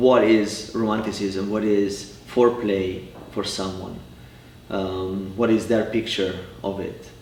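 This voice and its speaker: A man with an Italian accent speaks very slowly at a fairly low pitch, his intonation monotone and flat. Noticeable background noise and audible room echo fill the recording. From Italy, Cremona (north, near Milan). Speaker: family therapist. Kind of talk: interview. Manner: halting, many repetitions.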